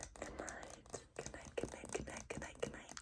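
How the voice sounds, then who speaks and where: Amid clear background noise, a woman is whispering. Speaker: ASMR creator. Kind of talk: ASMR sleep-wishing talk to camera. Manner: soft, whispery, repetitive triggers.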